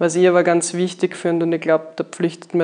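Noticeable background noise sits under the recording. A woman speaks in a fairly low pitch. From Austria, Graz, Styria. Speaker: winery sales and export staff. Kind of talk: casual chat. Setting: on location at a winery.

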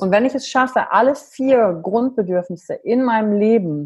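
A somewhat breathy woman's voice, fairly high in pitch, at a fairly slow pace. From western Germany, near Wuppertal. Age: 30s. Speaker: emotional intelligence coach. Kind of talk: podcast interview.

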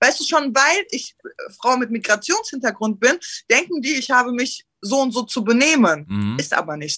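A woman's high-pitched voice carries a bright, sharp tone and very wide pitch swings. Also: moderate pace. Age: 20s. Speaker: rapper. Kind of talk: casual chat.

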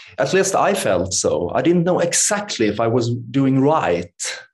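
Speaking at a very slow pace, a man talks with a Swedish accent. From Sweden. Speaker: yoga teacher and meditation author. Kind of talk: interview conversation. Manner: halting.

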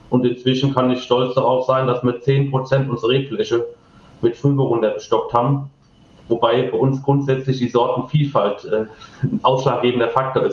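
A man speaks at a medium pitch and a moderate pace. His intonation is monotone and flat, and his loudness is very even. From Rheinhessen, Germany (Ingelheim). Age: 20s. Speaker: winemaker. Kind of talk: interview.

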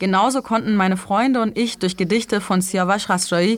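An unremarkable speaking voice with fairly even intonation. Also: woman. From Germany (born in Iran, moved at ten). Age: young. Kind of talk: live interpreting of an interview.

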